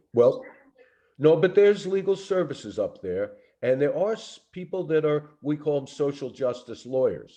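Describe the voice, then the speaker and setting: In a Brooklyn accent, a man with a dark, mellow tone speaks at a moderate pace and a fairly high pitch, his intonation lively. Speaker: lawyer. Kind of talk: Q&A answer on a training call.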